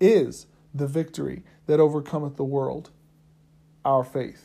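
With fairly even intonation, a man speaks at a fairly high pitch and a moderate pace. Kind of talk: sermon. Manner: earnest, teacherly preaching cadence with repeated phrases and call-and-response; fervent, emphatic, driving each point home by repetition.

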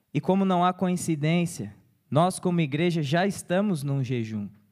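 A man's dark, mellow tone, with ordinary pitch variation, comes across on a very clean recording with a silent background. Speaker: deacon preaching. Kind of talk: sermon. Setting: church.

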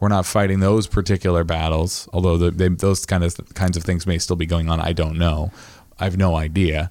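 With an American accent, a man speaks fairly quickly in a very deep, low pitch, his intonation monotone and flat and his loudness very even. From Maine, US (Midcoast). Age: 30s. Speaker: podcast host. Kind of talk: casual chat.

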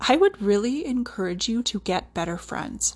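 Somewhat breathy and fairly slow, a woman with a Canadian accent speaks with lively intonation. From central Alberta, Canada. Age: 30s. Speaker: podcast host, respiratory therapist and yoga teacher. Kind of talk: solo podcast monologue.

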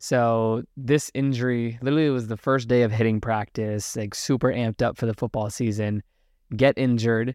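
A normal speaking voice from a man with an American accent, medium pitch, moderate pace and fairly even intonation, with a dry, close sound with no echo over a quiet background. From Virginia, US. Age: 20s. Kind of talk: casual interview chat.

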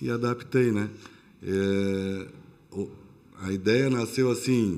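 Fairly low-pitched and dark, mellow in tone, this man's voice shows ordinary pitch variation. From São Paulo, Brazil. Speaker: restaurant owner, former corporate executive. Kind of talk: casual interview.

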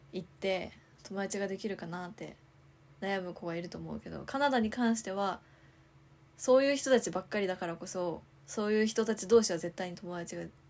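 Speaking at a fairly quick pace, a woman uses a plain, everyday voice, pitched medium with ordinary variation. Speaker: podcast co-host. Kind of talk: casual chat.

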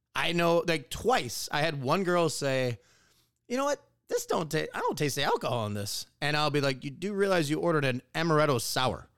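A man with an American accent and an ordinary speaking voice talks at a fairly quick pace, his fairly high pitch moving with lively intonation. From Wisconsin. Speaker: podcast co-host. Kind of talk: casual chat.

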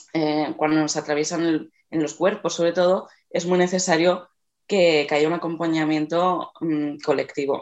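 A woman's fairly low voice at a fairly slow pace, monotone, flat intonation, and a quiet background. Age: 20s. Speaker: body-positive activist and artist. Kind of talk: radio interview.

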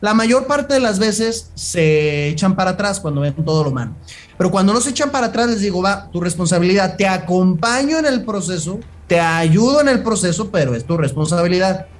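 This man talks at a fairly quick pace with lively intonation and a high pitch. Audible echo fills the room around him. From Jalisco, Mexico. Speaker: sports nutritionist and personal trainer. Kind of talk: casual interview chat.

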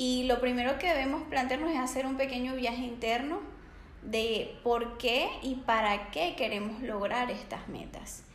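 Over noticeable background noise and audible room echo, a woman speaks fairly slowly in a high voice with ordinary pitch variation. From Venezuela. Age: 20s. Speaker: psychologist and life coach. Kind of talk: interview.

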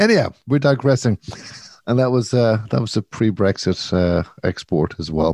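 With an Irish accent, a man talks at a moderate pace in a fairly low pitch and lively intonation, the sound dry and close with no echo. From Ireland. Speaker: podcast co-host. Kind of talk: casual chat.

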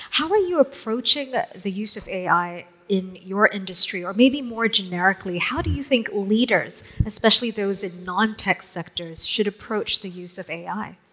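Over noticeable background noise, a woman talks at medium pitch and a moderate pace, her pitch varying in an ordinary way while her loudness swings widely. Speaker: moderator. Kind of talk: fireside chat. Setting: stage with audience.

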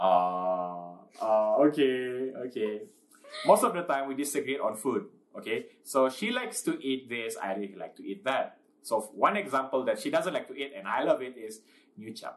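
A man speaks at a moderate pace and medium pitch, with very wide pitch swings and big swings in loudness, against noticeable background noise. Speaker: podcast co-host. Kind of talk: casual chat. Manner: stutter; halting.

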